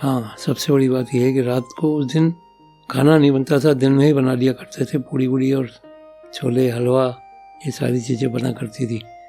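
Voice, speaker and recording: Music plays behind a man whose medium-pitched voice stays monotone and flat. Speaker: father sharing life stories. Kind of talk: podcast interview answer. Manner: conversational, reminiscing.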